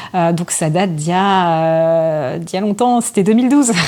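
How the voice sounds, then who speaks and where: A woman speaks at a moderate pace with a fairly low pitch and lively intonation, over noticeable background noise. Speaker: voice actor. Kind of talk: interview answer. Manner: casual, hesitant.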